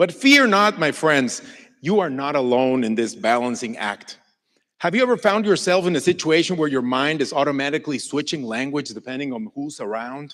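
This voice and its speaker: Over a very clean recording with a silent background, a man speaks with a Mexican accent. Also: fairly high pitch for a man, lively intonation, moderate pace. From Mexico. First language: Spanish. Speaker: Mexican folk musician. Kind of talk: inspirational stage talk.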